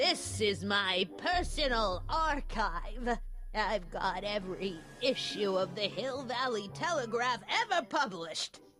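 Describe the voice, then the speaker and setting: Doing a put-on character voice, a woman speaks fairly slowly at a fairly high pitch with very wide pitch swings. Clear music plays in the background. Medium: video game. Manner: scolding, prim, disapproving.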